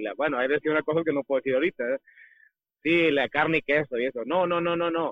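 The speaker is a man with a medium pitch and ordinary pitch variation. His sound is dry and close, with no echo.

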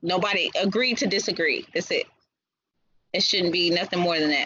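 Animated in tone, a woman with an American accent speaks at a moderate pace. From US South, Texas. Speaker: battle rapper. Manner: animated, laughs often.

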